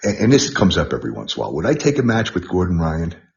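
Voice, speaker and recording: Delivered with a New York accent, the voice shows vocal fry and lively intonation. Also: man. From New York, the Bronx. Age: 60s. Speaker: martial arts trainer. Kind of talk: interview. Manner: halting, repetitive.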